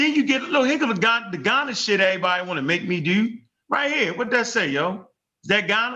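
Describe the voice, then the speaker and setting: A man talks at a very fast pace in a raised, projected voice. His pitch is high and his intonation lively. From US. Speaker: online discussion host. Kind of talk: casual debate chat. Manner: animated.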